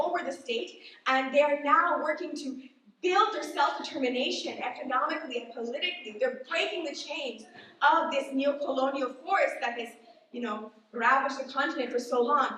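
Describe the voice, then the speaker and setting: Audible room echo surrounds the speaker. A woman with a high pitch talks at a fairly quick pace. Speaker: activist speaker at political event. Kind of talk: presentation speech. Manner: fast.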